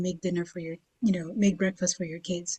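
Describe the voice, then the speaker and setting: The woman's voice has a dark, mellow tone and comes across as somewhat breathy. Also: dry, close sound with no echo. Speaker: writer and panelist. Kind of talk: panel discussion.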